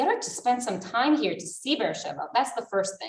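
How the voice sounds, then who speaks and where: Her voice sits at a high pitch with very wide swings. The woman speaks at a fairly quick pace. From Israel, Jerusalem. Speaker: community development representative. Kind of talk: panel discussion.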